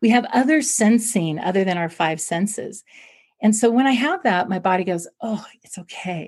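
A woman with a fairly high pitch and somewhat breathy voice talks at a moderate pace with lively intonation. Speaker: clinical psychologist. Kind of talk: interview.

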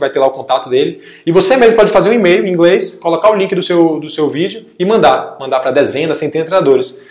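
This man talks very fast at a fairly high pitch, with ordinary variation in his pitch. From Brazil, Salvador, Bahia. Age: 20s. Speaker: former student-athlete. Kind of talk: casual interview.

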